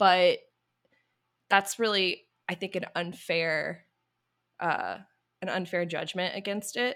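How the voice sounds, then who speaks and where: In a very clean recording with a silent background, a woman with an American accent speaks at a very slow pace and medium pitch, her intonation fairly even, with long, frequent pauses. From US South. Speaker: YouTuber. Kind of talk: casual chat.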